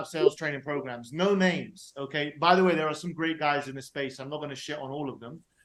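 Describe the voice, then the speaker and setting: An animated, very fast-talking man in a London accent, with ordinary pitch variation. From London, England. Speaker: sales expert. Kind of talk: podcast interview.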